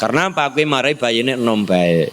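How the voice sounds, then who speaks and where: A man talks at a fairly quick pace in an animated tone with lively intonation. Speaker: Islamic preacher. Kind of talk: sermon.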